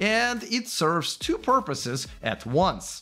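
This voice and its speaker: A man's bright, sharp voice with very wide pitch swings. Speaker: EV channel host. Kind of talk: commentary. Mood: critical, sarcastic. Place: studio. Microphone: studio mic.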